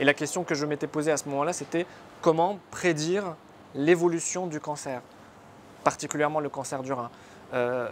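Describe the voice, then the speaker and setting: A man's fairly high voice with an Arabic accent, at a moderate pace with long, frequent pauses. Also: fairly even intonation. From northern Lebanon, near Tripoli. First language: Arabic (speaking French). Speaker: surgeon turned entrepreneur. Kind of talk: interview. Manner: hesitant, many fillers.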